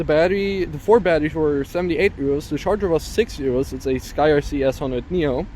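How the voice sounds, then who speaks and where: With a German accent, a man speaks using ordinary pitch variation. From Germany. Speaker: FPV drone YouTuber. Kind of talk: casual vlog narration. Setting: outdoors. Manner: casual with frequent fillers.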